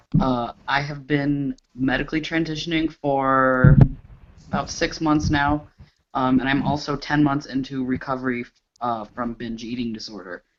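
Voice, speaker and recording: The man has a normal speaking voice at medium pitch. He talks at a moderate pace with ordinary pitch variation. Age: 20s. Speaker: panelist, advocate. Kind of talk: panel discussion.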